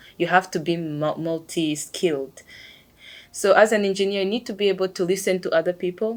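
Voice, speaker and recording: A woman with a non-native accent, fairly low in pitch and fairly even in intonation, on a very clean recording with a silent background. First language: not English. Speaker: engineer. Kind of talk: interview monologue. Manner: hesitant with fillers.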